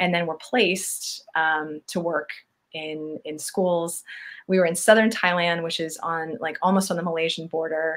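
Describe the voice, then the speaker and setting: On a very clean recording with a silent background, a woman with an American accent and a fairly low pitch talks at a moderate pace with fairly even intonation. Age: 40s. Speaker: travel influencer. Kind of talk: podcast interview.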